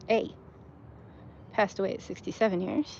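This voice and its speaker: Somewhat breathy and animated, a woman speaks with ordinary pitch variation. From US South, Texas. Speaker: cemetery walk vlogger. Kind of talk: casual walking vlog narration. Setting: outdoors in a cemetery. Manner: chatty, animated.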